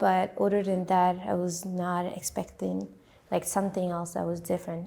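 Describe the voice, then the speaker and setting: A woman with a French accent speaks at a moderate pace and medium pitch, her dark, mellow tone held in monotone, flat intonation. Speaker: immigrant, interviewee. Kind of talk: interview testimony. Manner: halting, with many fillers and repetitions.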